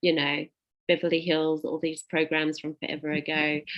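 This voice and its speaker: A woman speaks with a South African accent. Her pitch is fairly low and her pace moderate. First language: Afrikaans. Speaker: invited speaker. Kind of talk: informal talk.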